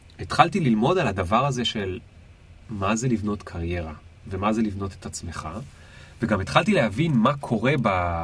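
A man with a fairly low pitch speaks at a moderate pace, with a somewhat breathy sound. His intonation is lively, broken by long, frequent pauses. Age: 30s. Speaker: entrepreneur and career consultant. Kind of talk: casual interview. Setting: studio.

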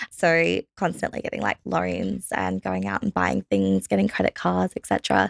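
Speaking with an Australian accent, a woman talks at a moderate pace with hardly any pauses, in a dry, close sound with no echo. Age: 20s. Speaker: budgeting company staff member. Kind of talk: interview.

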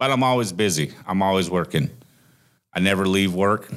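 In a Midwestern American accent, the voice moves at a moderate pace on a very clean recording with a silent background. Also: man. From Iowa, US Midwest. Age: 40s. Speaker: trucking company recruiter, former truck driver. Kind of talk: casual interview.

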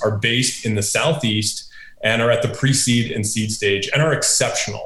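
With lively intonation, a man talks at a moderate pace, and room echo can be heard. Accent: American. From upstate New York. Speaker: venture capitalist. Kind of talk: interview.

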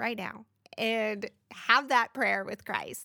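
A woman's fairly high, animated voice in a very clean recording, dry and close with no echo against a silent background. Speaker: podcast host. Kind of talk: casual interview chat.

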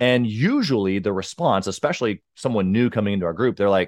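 A plain, everyday voice moves at a fairly quick pace, with a dry, close sound with no echo and a quiet background. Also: man. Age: 30s. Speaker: entrepreneur and business mentor. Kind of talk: interview.

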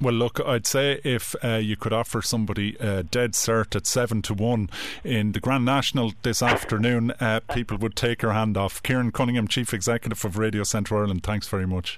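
A man with a plain, everyday voice speaks at a fairly quick pace with hardly any pauses. His medium pitch, fairly even intonation and very even loudness hold throughout. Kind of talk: radio presenter patter. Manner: warm, brisk, conversational.

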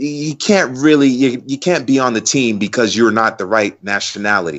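An ordinary speaking voice from a man with an American accent, medium in pitch, at a fairly slow pace. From United States. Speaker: football commentator. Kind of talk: casual chat.

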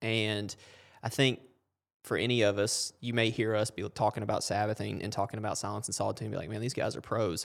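A man at a very fast pace, fairly low-pitched, with monotone, flat intonation and vocal fry, in a very clean recording with a silent background. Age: 20s. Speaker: faith-based sports ministry podcast host. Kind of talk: casual faith interview chat.

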